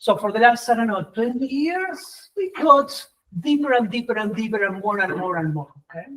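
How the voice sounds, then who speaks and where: This man's pitch is extremely high, with very wide swings. His pace is moderate. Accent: non-native. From Argentina. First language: Spanish. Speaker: professor. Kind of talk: conference talk. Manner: animated.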